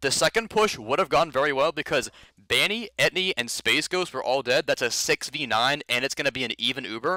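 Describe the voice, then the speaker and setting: The man talks at a fairly quick pace with lively intonation. His pitch is fairly high and his tone bright and sharp. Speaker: competitive gamer reviewing own match. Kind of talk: match demo review. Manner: fast, casting-like delivery; halting, frequent self-corrections.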